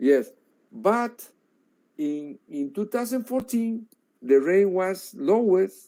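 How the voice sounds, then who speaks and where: A man with a Spanish accent and a high pitch speaks at a very slow pace, with very wide pitch swings and long, frequent pauses. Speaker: researcher. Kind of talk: lecture. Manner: halting.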